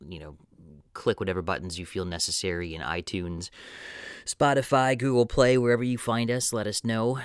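Pausing long and often, a man speaks with lively intonation in a very clean, dry, close recording with a silent background and no echo. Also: big swings in loudness. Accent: American. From Wisconsin, US. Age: 30s. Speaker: podcast host. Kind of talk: podcast intro; casual chat.

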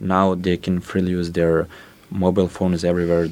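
Speaking with a Serbian accent, a man with a very deep, low pitch and a dark, mellow tone talks at a fairly quick pace. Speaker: youth council representative. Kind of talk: panel discussion. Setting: studio.

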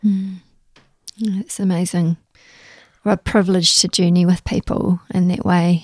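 A woman with a New Zealand accent speaks in a monotone, flat intonation, somewhat breathy. She leaves long, frequent pauses, and the sound is dry and close with no echo. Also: medium pitch for a woman, moderate pace. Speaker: podcast host. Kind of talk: casual interview chat.

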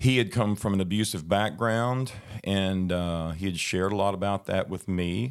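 A very clean recording with a silent background carries speech at a moderate pace with fairly even intonation. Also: man, fairly low pitch for a man. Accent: Southern US. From southern Arkansas, US South. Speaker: guest sharing a personal faith story. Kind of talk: testimony. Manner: halting, many fillers and repeats.

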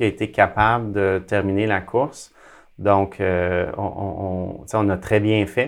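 Over a quiet background, a man talks very slowly at a fairly low pitch with fairly even intonation. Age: 40s. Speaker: athlete and speaker. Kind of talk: interview. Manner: halting.

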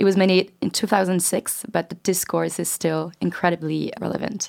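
In a French accent, a woman talks at a moderate pace and medium pitch on a very clean recording with a silent background. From France. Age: 20s. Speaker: student podcast co-host. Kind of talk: casual chat.

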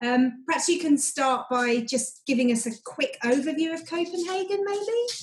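In a British accent, a woman with a high pitch talks at a moderate pace with very wide pitch swings and hardly any pauses. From Britain. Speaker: travel podcast host. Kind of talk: casual interview.

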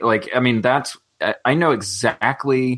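A man talks at a fairly slow pace with an ordinary speaking voice. His pitch shows ordinary variation. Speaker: youth ministries director and co-host. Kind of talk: casual chat.

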